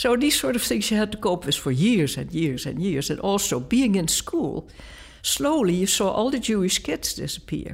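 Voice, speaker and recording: A woman's medium-pitched voice with vocal fry and very wide pitch swings, in a Dutch accent. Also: moderate pace. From Netherlands. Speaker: art professor. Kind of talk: interview.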